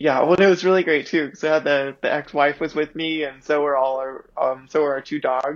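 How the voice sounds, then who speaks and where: A woman with a very deep, low pitch talks at a fairly quick pace with hardly any pauses and fairly even intonation. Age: 30s. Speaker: off-road racer. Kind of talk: casual interview chat.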